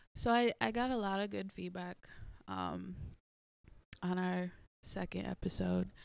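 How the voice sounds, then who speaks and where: On a very clean recording with a silent background, a woman speaks at a fairly slow pace with long, frequent pauses. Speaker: podcast host. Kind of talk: casual chat.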